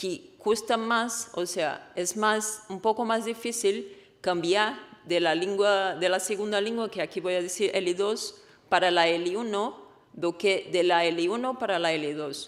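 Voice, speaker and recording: A woman talks at a fairly slow pace and a medium pitch, with ordinary pitch variation. Audible room echo surrounds her voice. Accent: Portuguese. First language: Portuguese (speaking Spanish). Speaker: researcher. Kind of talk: conference talk.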